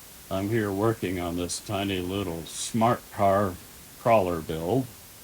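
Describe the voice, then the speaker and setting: A man's very deep, low voice at a fairly slow pace, with ordinary pitch variation and noticeable background noise. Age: old. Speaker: RC hobbyist YouTuber. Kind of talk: tutorial. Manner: casual.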